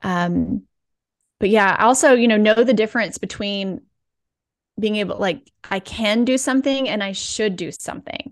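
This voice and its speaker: Moderate pace and ordinary pitch variation in an American accent, with long, frequent pauses over a quiet background. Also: woman, fairly high pitch for a woman. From US South (rural Alabama and Georgia). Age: 40s. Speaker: physical therapist and wellness coach. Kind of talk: podcast interview.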